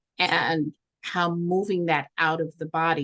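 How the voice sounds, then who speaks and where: A woman with a New York accent speaks in a very deep, low pitch and a monotone, flat intonation, the sound dry and close with no echo against a quiet background. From New York, Brooklyn. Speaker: social worker and holistic practitioner. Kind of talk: workshop talk and Q&A. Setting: video call.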